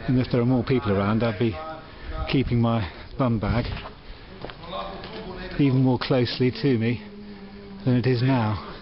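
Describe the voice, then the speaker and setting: A man speaks at a moderate pace with very even loudness, ordinary pitch variation and long, frequent pauses, against noticeable background noise. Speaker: travel vlogger. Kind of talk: casual vlog chat. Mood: wry, slightly uneasy. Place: street. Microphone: phone near.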